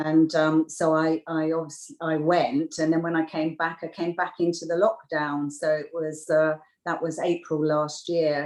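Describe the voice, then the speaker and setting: A woman with an English accent speaks at a fairly slow pace with hardly any pauses, her very deep, low pitch held in a flat monotone. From UK. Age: 60s. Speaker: beauty therapist. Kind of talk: interview. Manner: halting.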